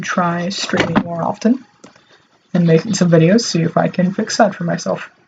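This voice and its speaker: A woman talks in a fairly low pitch. She is soft-spoken. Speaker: artist streaming their drawing. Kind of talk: casual live-stream talk while drawing. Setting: alone in a room, live stream. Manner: awkward pauses.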